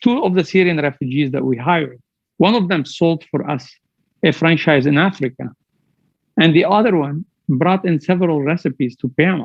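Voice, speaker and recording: A man with a fairly high pitch and a strong non-native accent, fairly quick pace, ordinary pitch variation, and long, frequent pauses. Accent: heavy foreign. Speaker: business executive. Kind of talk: motivational speech.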